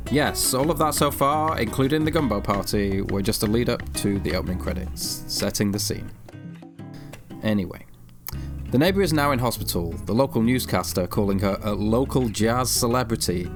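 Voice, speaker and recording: Music plays behind a man with a fairly low voice and very wide pitch swings. He talks at a moderate pace. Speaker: video essayist. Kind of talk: video essay narration, wry commentary.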